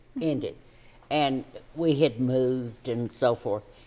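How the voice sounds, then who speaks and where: Very slow speech in a Kentucky accent. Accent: Southern US (Kentucky). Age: 70s. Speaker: local radio personality. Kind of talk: casual chat.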